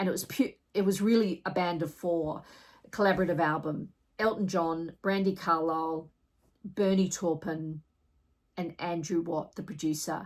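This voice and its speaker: A woman speaks in an Australian accent, fairly low in pitch and at a fairly slow pace. Her intonation is fairly even, and the recording is very clean with a silent background. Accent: Australian twang. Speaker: music reviewer, vinyl collector. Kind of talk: album review vlog. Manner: casual, conversational with fillers.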